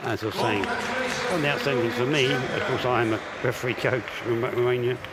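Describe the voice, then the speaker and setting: A man with an English accent talks at a fairly quick pace, with music in the background and audible room echo. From England. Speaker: armwrestling commentator and referee coach. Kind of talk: live commentary.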